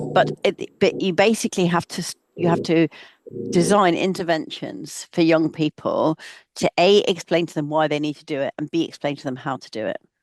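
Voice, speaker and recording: In a dry, close recording with no echo, a woman with a fairly low pitch and ordinary pitch variation shows big swings in loudness. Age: 60s. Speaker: professor. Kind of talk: webinar Q&A answer. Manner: halting, many fillers and restarts.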